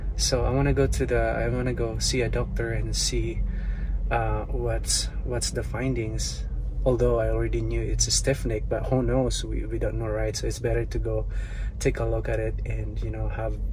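This man talks at a moderate pace with monotone, flat intonation and a very deep, low pitch. Noticeable background noise sits behind him. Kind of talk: casual vlog chat. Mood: calm, slightly pained. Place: car. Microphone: earbuds.

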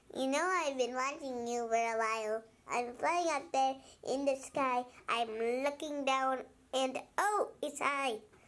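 This is a cartoonish character voice that sounds female. Her pitch is high. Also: fairly slow pace. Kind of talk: cartoon character voice.

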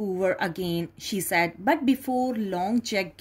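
The voice is plain reading aloud. Nothing more is added to it.

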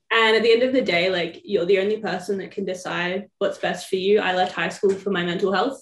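A woman at a medium pitch and fairly quick pace, with an Australian accent, fairly even intonation, and audible room echo. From Victoria, Australia. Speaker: former student. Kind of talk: interview. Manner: casual, filler-heavy. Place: home room. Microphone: phone near.

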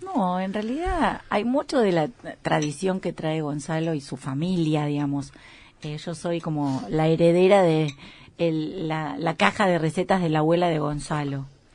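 A woman's very deep, low voice unfolds at a fairly slow pace. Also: ordinary pitch variation. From Argentina. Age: 50s. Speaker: restaurant owner; interview guest. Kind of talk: casual interview. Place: studio.

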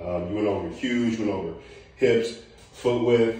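Strong room echo surrounds the recording. A man with fairly low pitch speaks at a moderate pace. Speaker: strength coach. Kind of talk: tutorial feedback. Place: garage. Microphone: camera far.

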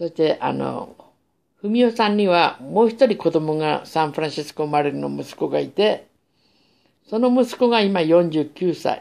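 A woman speaks fairly slowly in a fairly low pitch with a dark, mellow tone. Her intonation is lively. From Japan, Sapporo, Hokkaido. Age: 60s. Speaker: vlogger telling life story; vlogger. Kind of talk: personal monologue. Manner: halting. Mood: calm, reminiscing. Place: home room. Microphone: phone near.

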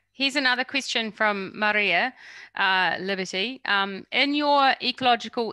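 In a very clean recording with a silent background, a woman with a New Zealand accent speaks in a bright, sharp tone at medium pitch, with ordinary pitch variation and a dry, close sound with no echo. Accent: New Zealand twang. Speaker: workshop moderator. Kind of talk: Q&A session.

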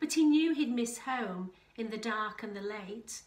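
A woman speaks at a fairly slow pace with a fairly high pitch. Room echo is audible.

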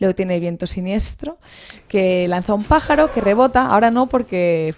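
With lively intonation, a woman talks while the background stays quiet. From Spain. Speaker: video game presenter; presenter. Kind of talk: video game tutorial. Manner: halting, frequent repetitions. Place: home room. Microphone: headset.

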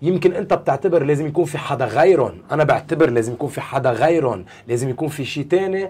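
A man's fairly high voice at a fairly quick pace, with hardly any pauses. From Lebanon. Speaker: basketball coach; basketball club head coach, guest. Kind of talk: interview. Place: studio.

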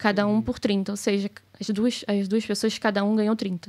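Behind this woman, the background is quiet. She talks at a moderate speed. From Brazil. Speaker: business owner; podcast guest. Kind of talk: casual chat. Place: studio. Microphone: studio mic.

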